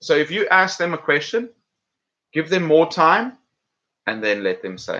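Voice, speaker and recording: Male speaker with an American accent. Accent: South African with British and some American. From South Africa. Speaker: English teacher and YouTuber. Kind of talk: live stream chat. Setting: home live stream. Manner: casual, halting with fillers.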